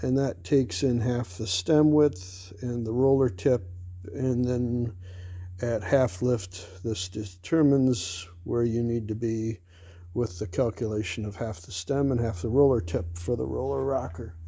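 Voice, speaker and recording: Somewhat breathy and dark, mellow in tone, a man speaks at medium pitch with lively intonation and a fairly slow pace. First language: not English. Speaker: engine builder. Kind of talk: workshop tutorial. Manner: casual, with frequent fillers.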